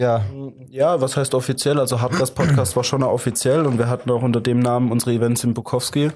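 At a moderate pace, a man speaks at medium pitch in a dark, mellow tone with fairly even intonation. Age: 20s. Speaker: techno DJ. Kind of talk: casual interview.

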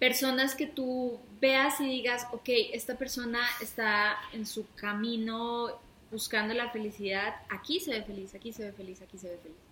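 Big swings in loudness mark this woman's fairly high voice, which carries a Mexican accent and ordinary pitch variation. She talks at a fairly slow pace over noticeable background noise. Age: 30s. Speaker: podcast co-host. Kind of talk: casual chat.

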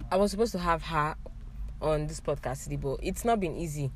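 Speaking at a fairly quick pace, a woman has a very deep, low pitch with vocal fry and ordinary pitch variation. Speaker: podcast host. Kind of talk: casual chat. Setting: background noise in recording.

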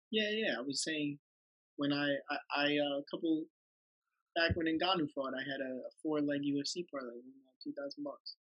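At a moderate pace, a normal speaking voice shows ordinary pitch variation and big swings in loudness. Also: man, fairly high pitch for a man. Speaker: guest.

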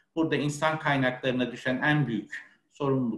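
A man's medium-pitched voice with ordinary pitch variation, an unremarkable speaking voice. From Ankara, Turkey. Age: 30s. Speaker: HR manager. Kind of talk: interview. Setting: webinar video call.

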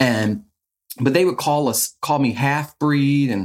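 With a plain, everyday voice, this man speaks at a fairly high pitch using lively intonation. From moved around US Northeast and Midwest as child, born in Chicago. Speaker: documentary photographer. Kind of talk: casual interview.

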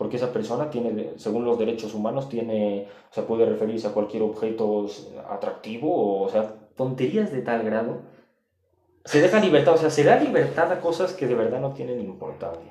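The voice has a dark, mellow tone, and audible room echo surrounds it. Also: man, medium pitch for a man, lively intonation, moderate pace. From Spain and Mexico. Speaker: podcast guest. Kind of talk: casual chat.

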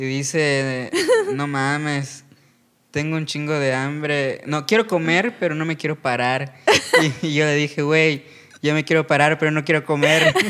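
At a fairly slow pace, a man talks in a fairly high pitch with monotone, flat intonation. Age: 20s. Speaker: stand-up comedian. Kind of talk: casual chat.

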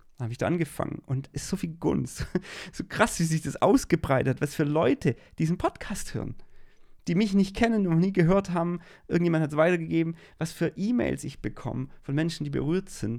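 A man speaks with an animated tone and lively intonation. His pitch is fairly high and his pace fairly quick. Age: 40s. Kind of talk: devotional monologue.

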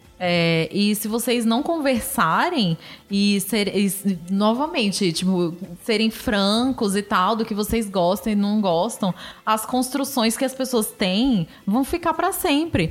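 A woman with a fairly high pitch speaks at a very slow pace, her loudness very even and her intonation lively, over noticeable background noise. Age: 30s. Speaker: podcast co-host. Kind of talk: casual chat.

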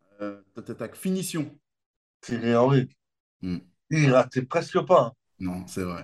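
A man with a medium-pitched voice speaks very slowly, leaving long, frequent pauses. His pitch swings very widely and his loudness rises and falls sharply. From France, Limoges. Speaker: comedian. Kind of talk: casual chat. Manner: animated.

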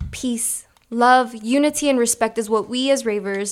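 In an American accent, a woman speaks with a plain, everyday voice at a fairly high pitch. Her intonation is fairly even and her pace fairly slow. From Chicago, US. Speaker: podcast host. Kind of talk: casual chat.

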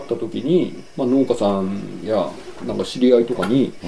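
Background noise is noticeable in the clip. A man talks at a moderate pace. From Yokohama, Japan. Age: 40s. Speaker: painter and farmer. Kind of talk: interview.

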